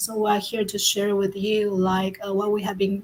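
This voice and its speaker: A woman speaks at a medium pitch and a moderate pace. Her intonation is monotone and flat. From Taiwan. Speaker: online entrepreneur. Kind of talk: casual chat.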